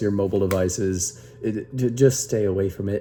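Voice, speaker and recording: Against music in the background, a man talks at a moderate pace in a fairly low pitch. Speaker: YouTuber. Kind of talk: casual vlog commentary. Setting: home bedroom. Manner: halting, many fillers.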